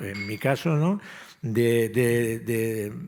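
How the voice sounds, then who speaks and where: Clearly audible noise runs through the background. A man talks over it. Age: 70s. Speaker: civil engineering professor. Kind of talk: panel discussion.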